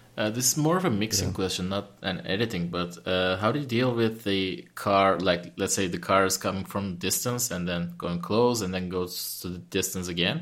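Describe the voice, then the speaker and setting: This man has a plain, everyday voice, pitched fairly low. He talks at a moderate pace with ordinary pitch variation. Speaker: podcast co-host. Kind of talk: casual interview chat.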